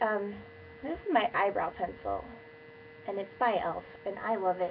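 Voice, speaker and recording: Noticeable background noise runs under this recording. A woman talks at a fairly quick pace and medium pitch. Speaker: beauty vlogger. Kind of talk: tutorial. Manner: casual.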